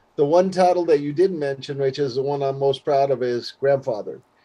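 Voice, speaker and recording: Someone with an American accent talks at a moderate pace in a dark, mellow tone with ordinary pitch variation. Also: man. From San Francisco, California. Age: 60s. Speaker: musician and producer. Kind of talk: interview. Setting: remote video call from his studio.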